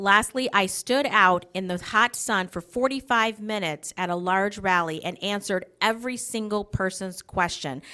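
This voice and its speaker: In a very clean recording with a silent background, a woman with an American accent speaks at a moderate pace and medium pitch, her tone bright and sharp, with ordinary pitch variation and hardly any pauses. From Wisconsin, US Midwest. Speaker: political candidate. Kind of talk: campaign speech. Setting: candidate forum broadcast on local TV.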